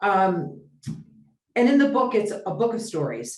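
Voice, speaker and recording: Fairly slow speech from a woman, audible room echo around it. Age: 70s. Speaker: business consultant. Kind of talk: interview.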